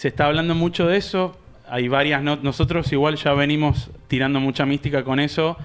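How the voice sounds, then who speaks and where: A man with an ordinary speaking voice, fairly high-pitched, fairly even in intonation, at a moderate pace and with very even loudness. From Argentina. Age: 30s. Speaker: podcast host. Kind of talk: interview. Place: studio. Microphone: studio mic.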